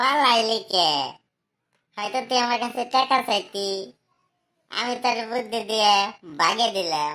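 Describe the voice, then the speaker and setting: Using a cartoonish character voice, a woman speaks fairly slowly at a fairly high pitch with ordinary pitch variation. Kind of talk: comic cartoon dubbing. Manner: jovial, boastful, laughing.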